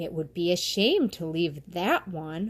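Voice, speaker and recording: Putting on a character voice, a woman speaks at a fairly slow pace with a warm, gentle tone and fairly low pitch. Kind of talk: bedtime story. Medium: read story.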